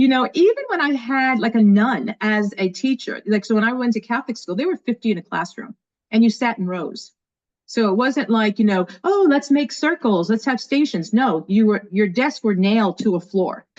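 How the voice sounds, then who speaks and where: An energetic, animated woman with an American accent, fairly high-pitched, with lively intonation and a moderate pace, in a dry, close recording with no echo and a quiet background. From New York, Brooklyn and Long Island. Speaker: school leader and educator. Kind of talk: podcast interview.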